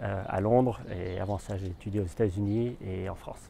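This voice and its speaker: Fairly slow and fairly low, this man's voice has a dark, mellow tone. He takes his time over each phrase. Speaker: consultant and business school lecturer. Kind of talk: interview testimonial. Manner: halting, many repetitions.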